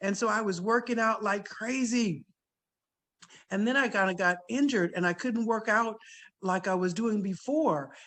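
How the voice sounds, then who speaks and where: Against a quiet background, a woman with a fairly high pitch speaks at a moderate pace in an animated tone, her loudness very even and her pitch variation ordinary. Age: 60s. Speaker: direct sales consultant. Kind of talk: testimony.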